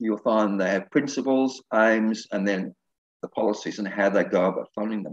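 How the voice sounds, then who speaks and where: A man with an Australian accent speaks at a moderate pace in a fairly low pitch, his intonation fairly even, and the sound is dry and close with no echo. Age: 70s. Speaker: retired minister and election candidate. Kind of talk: radio interview.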